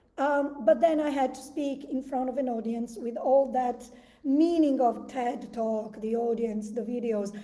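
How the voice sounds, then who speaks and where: A woman with an Italian accent speaks at a very slow pace in a high pitch. Her tone is dark and mellow, and her intonation fairly even. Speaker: breathwork coach. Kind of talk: guided meditation talk. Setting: live video stream.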